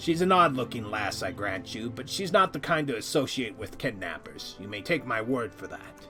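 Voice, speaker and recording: Over clear music in the background, a man uses a put-on character voice at a medium pitch. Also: moderate pace. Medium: video game. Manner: hearty, folksy, nautical idiom.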